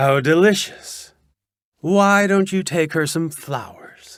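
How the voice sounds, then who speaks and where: In a put-on character voice, a man projects with a raised, high-pitched delivery at a fairly slow pace, recorded very cleanly against a silent background. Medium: read story. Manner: sly, greedy.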